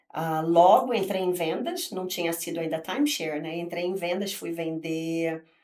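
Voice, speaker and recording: A woman talks at a fairly slow pace and a fairly low pitch, with ordinary pitch variation. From Brazil, Rio de Janeiro. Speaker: real estate agent. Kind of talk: podcast interview.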